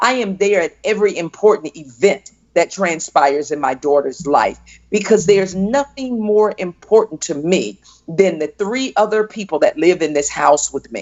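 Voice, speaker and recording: A woman with a plain, everyday voice and an American accent speaks at a medium pitch and moderate pace with lively intonation. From US South, Fort Pierce, Florida. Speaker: entrepreneur and coach. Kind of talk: interview.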